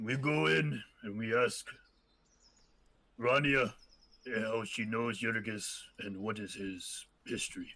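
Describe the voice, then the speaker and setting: A man does a raspy, put-on character voice at medium pitch with ordinary pitch variation. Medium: actual play. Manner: speaks of self in third person, broken grammar.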